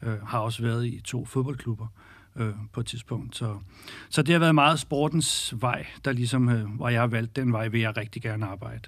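In a very clean recording with a silent background, a man with an unremarkable speaking voice talks at a moderate pace, medium pitch and fairly even intonation. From Denmark, North Zealand (Birkerød). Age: 40s. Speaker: women's football league director. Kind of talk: interview.

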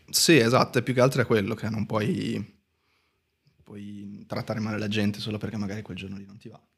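A man talks at a fairly quick pace with fairly even intonation, broken by long, frequent pauses. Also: fairly low pitch for a man. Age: 20s. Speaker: tattoo artist. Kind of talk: casual chat.

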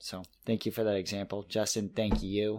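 The voice keeps a moderate pace and a monotone, flat intonation on a very clean recording with a silent background. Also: man. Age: 30s. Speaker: podcast co-host. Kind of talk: casual chat.

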